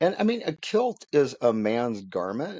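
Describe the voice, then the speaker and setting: Speaking very slowly at a medium pitch, a man sounds dry and close with no echo against a quiet background. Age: 60s. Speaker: podcast co-host. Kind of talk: casual chat.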